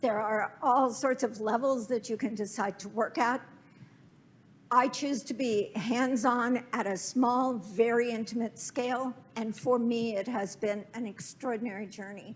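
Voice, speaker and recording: In an unremarkable speaking voice, a woman speaks at a fairly slow pace with fairly high pitch and fairly even intonation. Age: 60s. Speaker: architect. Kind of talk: lecture.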